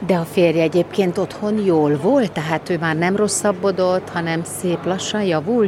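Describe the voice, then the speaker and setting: Over noticeable background noise, a woman talks at a medium pitch and a fairly slow pace, with ordinary pitch variation and hardly any pauses. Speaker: radio reporter. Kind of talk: radio interview.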